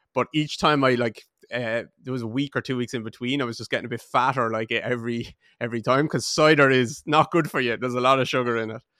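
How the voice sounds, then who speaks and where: Speaking very fast with an Irish accent, a man uses a medium pitch and fairly even intonation in a bright, sharp tone, on a very clean recording with a silent background and a dry, close sound with no echo. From Ireland, Waterford. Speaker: podcast host. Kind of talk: interview conversation.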